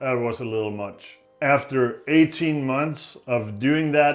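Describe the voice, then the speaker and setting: In a Danish accent, a man speaks at a very slow pace with a medium pitch and ordinary pitch variation. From Denmark. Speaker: knife maker. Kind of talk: tutorial. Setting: workshop.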